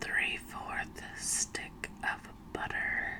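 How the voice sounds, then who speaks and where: Someone whispers at a very slow pace. Background noise is noticeable. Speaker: ASMR performer. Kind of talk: ASMR recipe reading. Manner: whispered; slow, soft-spoken.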